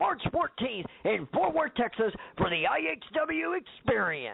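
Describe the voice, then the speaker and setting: A man puts on a character voice at a high pitch. He moves at a moderate pace with very wide pitch swings. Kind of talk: big, loud announcer.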